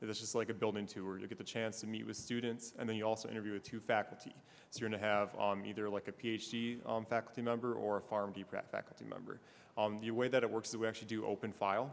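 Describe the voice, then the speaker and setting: Very fast and in a monotone, flat intonation, a man talks at a fairly low pitch. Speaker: pharmacy school recruiter. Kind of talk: panel talk.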